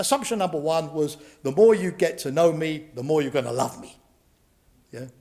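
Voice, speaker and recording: In a British accent, a man with a high pitch speaks using lively intonation. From Britain. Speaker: professor, former security official. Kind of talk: lecture. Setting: lecture hall with live and online audience. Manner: hesitant, many fillers.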